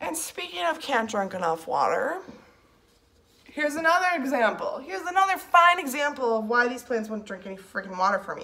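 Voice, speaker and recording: A woman with a high pitch uses a raised, projected voice at a fairly quick pace, with very wide pitch swings and big swings in loudness. Noticeable background noise sits behind her. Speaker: plant collector vlogger. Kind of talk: casual chat.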